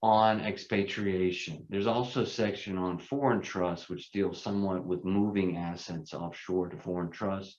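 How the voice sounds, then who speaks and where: A man speaks with a very deep, low pitch. His intonation is fairly even and his pace moderate. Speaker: tax attorney presenting a seminar. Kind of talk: seminar lecture. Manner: loud.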